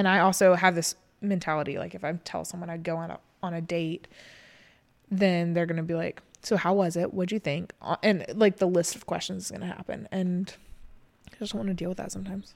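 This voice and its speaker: A woman with a fairly low pitch and a normal speaking voice talks at a fairly quick pace with fairly even intonation and big swings in loudness, in a very clean recording with a silent background. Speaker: podcast co-host. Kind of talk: casual chat.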